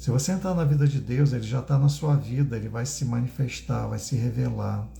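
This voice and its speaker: Noticeable background noise sits behind this recording. A man speaks at a moderate pace. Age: 60s. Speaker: spiritual teacher. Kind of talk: live stream talk. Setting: livestream.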